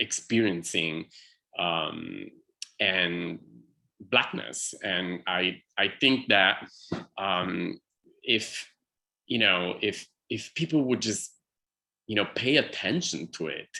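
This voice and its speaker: A man with an Italian accent speaks at a very slow pace, leaving long, frequent pauses. His pitch is very deep and low, with ordinary variation and a bright, sharp tone. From Italy. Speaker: artist in conversation. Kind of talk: one-on-one conversation. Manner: halting, many fillers.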